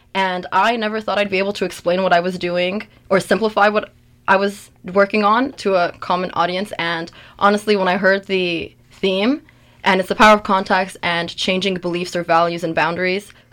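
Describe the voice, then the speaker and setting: Her pitch medium and her intonation fairly even, a woman speaks. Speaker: doctoral student in medical research. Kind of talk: interview chat. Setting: radio studio. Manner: fast.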